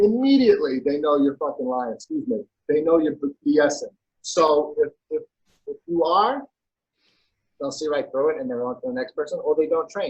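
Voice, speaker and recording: A man keeps a moderate pace, broken by long, frequent pauses. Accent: New York. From New York. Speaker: personal trainer. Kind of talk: casual interview chat.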